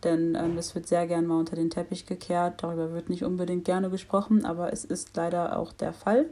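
A woman speaks at a fairly quick pace. Her voice is fairly low and has a dark, mellow tone. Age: 20s. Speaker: law student and activist. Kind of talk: casual interview.

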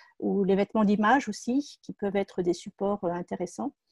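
Over a quiet background, a woman at a medium pitch speaks with ordinary pitch variation, in a dry, close sound with no echo. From France, Seine-et-Marne. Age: 50s. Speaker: entrepreneur. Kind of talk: personal testimony. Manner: halting, many hesitations.

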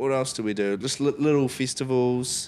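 Here a man with a New Zealand accent speaks at a fairly slow pace in a fairly high pitch. The recording is very clean with a silent background. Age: 20s. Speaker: musician. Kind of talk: casual chat.

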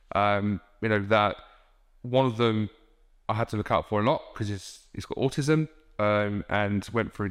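On a very clean recording with a silent background, a man with an English Midlands accent speaks at a moderate pace, his fairly low pitch held in fairly even intonation. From England, Northamptonshire (Wellingborough). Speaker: recruitment business owner. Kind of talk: interview.

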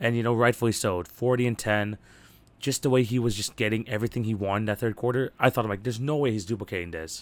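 In a very clean recording with a silent background, a man at medium pitch speaks very fast in an animated, energetic tone. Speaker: sports podcast host. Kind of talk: solo podcast monologue about basketball.

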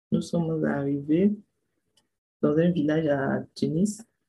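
Somewhat breathy, a woman speaks in a very deep, low pitch with ordinary pitch variation. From Ivory Coast. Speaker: migrant sharing her journey. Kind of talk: personal testimony.

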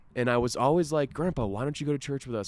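Very clean recording of a man against a silent background. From Florida, US. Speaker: podcast co-host, father. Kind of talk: casual chat. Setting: outdoors at parents' house.

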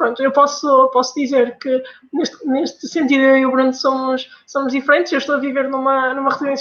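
At a moderate pace, a woman speaks with a northern Portuguese accent in a high pitch. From northern Portugal. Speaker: pharmacy student. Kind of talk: casual chat.

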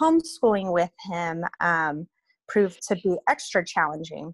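An American-accented woman has an ordinary speaking voice, a medium pitch and lively intonation, speaking at a fairly slow pace in a dry, close sound with no echo. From Reno, Nevada. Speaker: guest. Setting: video call.

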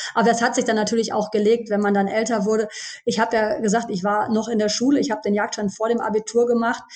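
Over noticeable background noise, a woman talks very fast in a fairly high, flat monotone. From Germany, Düsseldorf. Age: 40s. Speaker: pharmacist, former hunter. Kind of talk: podcast interview.

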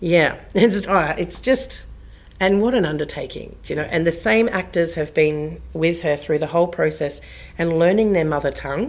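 Spoken at a moderate pace with an Australian accent, the voice carries vocal fry and ordinary pitch variation. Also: woman, fairly low pitch for a woman. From southwest Western Australia (Bridgetown). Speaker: theatre artistic director. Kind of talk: interview conversation.

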